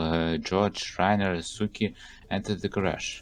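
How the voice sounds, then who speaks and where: Against a quiet background, a man with a non-native accent speaks in a fairly low, flat monotone. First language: not English. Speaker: game developer and let's play host. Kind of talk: let's play reading game text aloud. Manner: halting.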